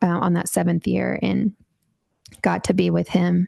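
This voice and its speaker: A woman with an American accent, in a dry, close sound with no echo. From Texas. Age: 30s. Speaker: bowhunter and outdoor industry brand manager. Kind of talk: podcast interview.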